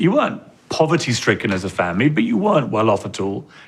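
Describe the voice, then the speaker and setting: In an English accent, a man talks at a fairly quick pace. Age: 50s. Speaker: TV interviewer. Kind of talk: interview.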